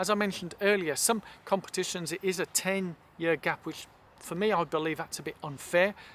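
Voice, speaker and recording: Speaking with an English accent, a man uses a high pitch and fairly even intonation. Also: fairly quick pace. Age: 60s. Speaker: masters runner vlogger. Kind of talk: casual vlog chat.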